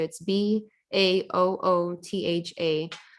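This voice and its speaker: Recorded very cleanly against a silent background, a woman with a Michigan accent speaks in a fairly low, monotone, flat voice. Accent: Michigan American English. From Southfield, Michigan, US. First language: Chaldean (Neo-Aramaic). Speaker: poet. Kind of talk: audience Q&A. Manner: hesitant, many fillers.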